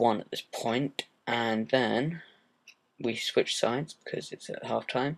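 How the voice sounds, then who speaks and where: A man with a southern English accent. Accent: British, southern English. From southern England. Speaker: gaming commentator. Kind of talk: gameplay commentary. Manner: hesitant, many fillers.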